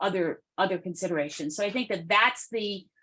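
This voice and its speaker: Ordinary pitch variation runs through this one. It is a normal speaking voice. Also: woman. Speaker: consultant presenting to a city task force. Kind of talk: public meeting discussion.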